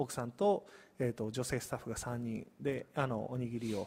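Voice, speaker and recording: The audio is very clean, with silence in the background. A man speaks at a moderate pace. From Osaka, Hirakata (Kansai). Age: 30s. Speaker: community business owner. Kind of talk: live-stream interview.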